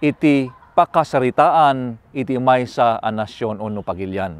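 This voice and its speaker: The sound is dry with no echo as a man talks at a fairly slow pace. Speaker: pastor. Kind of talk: sermon. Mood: calm, earnest. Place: forest.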